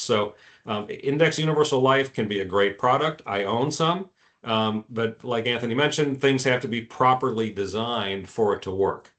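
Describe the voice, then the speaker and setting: Medium male pitch, a moderate pace and ordinary pitch variation in one man's delivery. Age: 60s. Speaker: insurance advisor. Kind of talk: webinar presentation. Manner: hesitant, many fillers.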